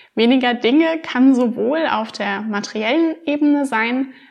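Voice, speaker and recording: An ordinary speaking voice from a woman, fairly high in pitch with ordinary pitch variation and a fairly slow pace. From Rhineland-Palatinate, Germany. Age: 20s. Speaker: minimalism blogger. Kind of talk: casual interview.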